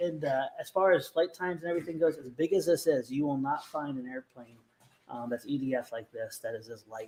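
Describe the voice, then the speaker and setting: Soft-spoken and fairly high-pitched, a man talks at a fairly quick pace with ordinary pitch variation and big swings in loudness. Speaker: RC hobby show host. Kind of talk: casual chat. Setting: live stream.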